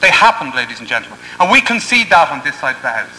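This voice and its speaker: Noticeable background noise sits behind a man speaking with an Irish accent. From Ireland. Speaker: university debater. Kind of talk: competitive debate speech. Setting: parliament chamber with audience. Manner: formal.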